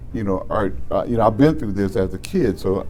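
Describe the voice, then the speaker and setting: With audible room echo, a man speaks at a moderate pace and fairly low pitch, his dark, mellow tone carrying vocal fry and lively intonation. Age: 70s. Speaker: former public safety official. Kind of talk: casual interview chat. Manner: halting, repetitive.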